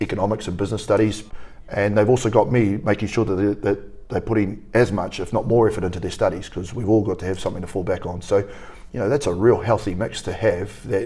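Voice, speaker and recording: At a very fast pace, a man with a fairly low pitch and a dark, mellow, somewhat breathy tone speaks with fairly even intonation. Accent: New Zealand. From New Zealand. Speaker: rugby academy coach. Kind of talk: interview.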